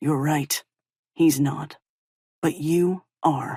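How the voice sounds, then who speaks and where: A put-on character voice at middle pitch. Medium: read story.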